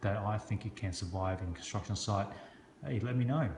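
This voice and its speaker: A man is talking with ordinary pitch variation. Noticeable background noise runs behind him. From Hong Kong. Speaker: construction business owner and knife reviewer. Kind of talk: product review video. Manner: casual, halting with frequent fillers.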